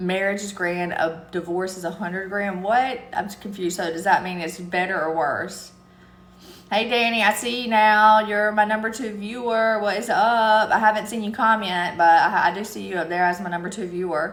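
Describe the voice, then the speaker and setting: A woman with a strong Southern US accent speaks at a medium pitch and a moderate pace. Her intonation is fairly even, and audible room echo surrounds her voice. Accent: thick Southern country. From US South, eastern North Carolina. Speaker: live streamer. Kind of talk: casual chat. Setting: TikTok live stream.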